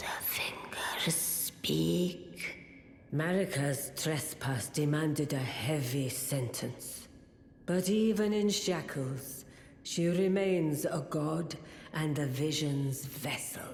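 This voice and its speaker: A put-on character voice at a middle pitch speaks at a very slow pace in a solemn tone. There is slight echo and light background noise. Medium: video game. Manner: solemn, ceremonial.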